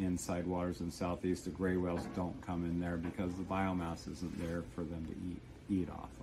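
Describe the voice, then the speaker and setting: A man speaks with a very deep, low pitch. Light background noise is audible. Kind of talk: interview answer. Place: boat. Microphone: camera far.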